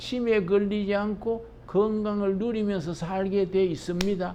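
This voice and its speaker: Very slowly delivered speech carries a dark, mellow tone, with audible echo from the room. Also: man. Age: 80s+. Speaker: pastor. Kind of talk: lecture; sermon.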